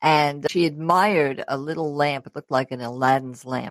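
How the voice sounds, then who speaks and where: This woman talks at a moderate pace in a very deep, low voice. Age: 70s. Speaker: travel show host. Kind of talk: interview.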